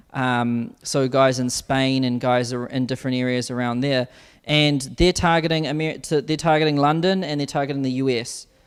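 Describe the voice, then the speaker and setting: A man in a New Zealand accent, fairly high pitch, fairly even intonation, moderate pace. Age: 20s. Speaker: business coach. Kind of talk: webinar interview.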